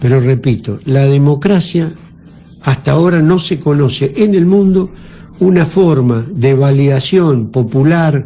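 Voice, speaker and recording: This man has an unremarkable speaking voice with a fairly high pitch. He talks at a fairly slow pace with ordinary pitch variation. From Argentina, San Luis (Villa Mercedes). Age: 60s. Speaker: politician. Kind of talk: radio interview.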